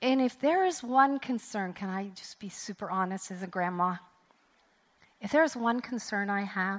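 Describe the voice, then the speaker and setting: Ordinary pitch variation at a moderate speed. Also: woman. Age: 60s. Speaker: women's conference speaker. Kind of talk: sermon. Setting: stage with audience. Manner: animated.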